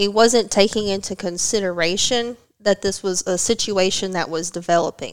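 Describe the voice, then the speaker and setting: Using a normal speaking voice, a woman talks at a moderate pace and medium pitch, her intonation fairly even. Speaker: martial artist and graduate student. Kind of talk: casual podcast interview.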